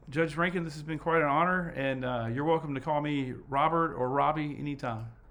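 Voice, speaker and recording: Over noticeable background noise and audible room echo, a man with an American accent talks at a fairly quick pace in a fairly high voice, his intonation fairly even but his loudness swinging widely. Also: hardly any pauses. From US South, Mississippi. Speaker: petitioner. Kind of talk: court hearing. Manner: halting.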